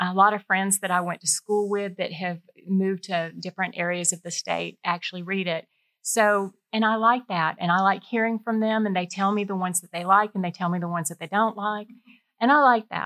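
Speaking fairly quickly in a Georgia accent, a woman has a bright, sharp tone, a medium pitch and fairly even intonation, captured in a very clean recording with a silent background and a dry, close sound with no echo. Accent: US Southern (Georgia). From Middle Georgia (Warner Robins). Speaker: freelance writer and former engineer. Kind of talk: interview conversation. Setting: in person studio.

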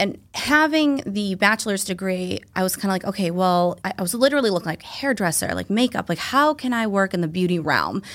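This woman has a plain, everyday voice, medium in pitch, with an American accent, speaking at a fairly quick pace with hardly any pauses. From Massachusetts South Shore. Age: 30s. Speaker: physician assistant. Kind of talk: casual interview chat.

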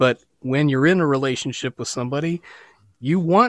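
A man with an American accent uses a normal speaking voice, with ordinary pitch variation. The sound is dry and close, with no echo. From western Pennsylvania. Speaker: musician and worship leader. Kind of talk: interview testimony.

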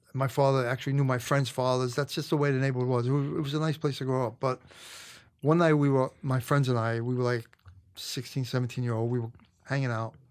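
In a Brooklyn accent, the speaker rushes along at a very fast pace with monotone, flat intonation, captured on a very clean recording with a silent background. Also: man, medium pitch for a man. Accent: New York (Brooklyn). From New York, Brooklyn (Canarsie). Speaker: retired police detective. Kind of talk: casual interview storytelling.

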